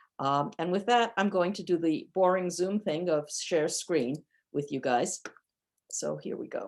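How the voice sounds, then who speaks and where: In a normal speaking voice with an American accent, a woman talks at a fairly slow pace, fairly low in pitch with ordinary pitch variation. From New York, US. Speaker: professor, cybersecurity policy. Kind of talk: lecture. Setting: video call.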